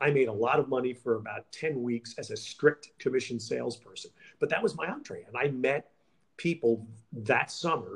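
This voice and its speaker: A man with an American accent at a medium pitch, somewhat breathy, with ordinary pitch variation at a moderate pace. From New York City. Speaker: sports broadcaster. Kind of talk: interview.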